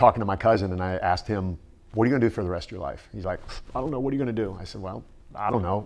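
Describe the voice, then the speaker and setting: Talking at a very fast pace, a man with a Midwestern American accent uses a fairly low pitch. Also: ordinary pitch variation. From US Midwest (Canton, Ohio). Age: 60s. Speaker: fitness personality and former Marine. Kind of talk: interview.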